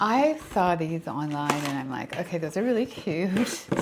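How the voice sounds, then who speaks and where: Over noticeable background noise, a woman speaks at a fairly slow pace in a fairly low pitch with very wide pitch swings. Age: 60s. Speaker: fashion and lifestyle vlogger. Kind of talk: product review and styling tutorial. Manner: animated.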